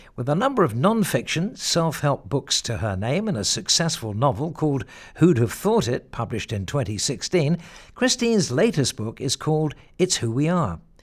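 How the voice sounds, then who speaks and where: A man's somewhat breathy, fairly high-pitched voice with very wide pitch swings at a moderate pace, on a very clean recording with a silent background. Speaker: radio host. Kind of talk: scripted show presentation.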